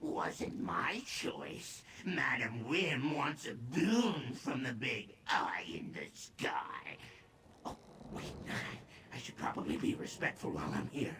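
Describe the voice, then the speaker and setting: Clear background noise sits under a put-on character voice delivered at a fairly slow pace. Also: man, fairly high pitch for a man. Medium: video game. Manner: self-pitying, talks of himself in third person.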